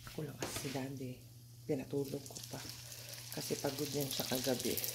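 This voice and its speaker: A soft-spoken woman, very deep and low in pitch, fairly quick, in a monotone with flat intonation, with noticeable background noise and audible room echo. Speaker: vlogger. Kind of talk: casual vlog.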